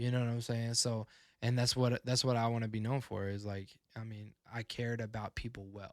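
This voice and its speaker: Monotone and flat in intonation, a man talks at a fairly quick pace. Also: medium pitch for a man, very clean recording, silent background. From Texas. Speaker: podcast guest, community organization leader. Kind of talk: casual chat. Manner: halting.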